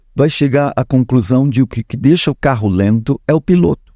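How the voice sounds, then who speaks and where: A man's dark, mellow voice with lively intonation at a moderate pace, dry and close with no echo. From Uruguay, Montevideo. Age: 60s. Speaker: actor. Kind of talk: podcast interview.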